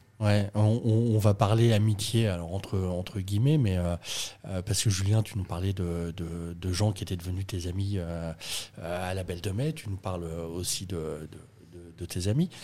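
A man's very deep, low voice in a dark, mellow tone, at a fairly slow pace with ordinary pitch variation. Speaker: podcast host. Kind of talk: casual chat, interview. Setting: coworking space.

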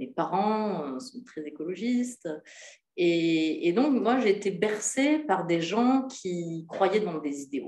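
Very slowly, a woman speaks at a medium pitch, with very wide pitch swings and big swings in loudness. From France, Hautes-Alpes. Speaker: novelist. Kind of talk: literary talk. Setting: hotel event with audience.

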